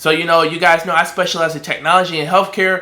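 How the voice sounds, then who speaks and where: A man's bright, sharp tone, animated throughout. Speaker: recruiter and online business coach. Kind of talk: tutorial. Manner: fast.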